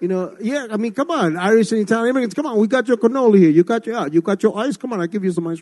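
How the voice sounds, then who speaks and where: Lively intonation marks this very fast voice with an American accent. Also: man, high pitch for a man. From Ecuador, raised New York City. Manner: fast talker.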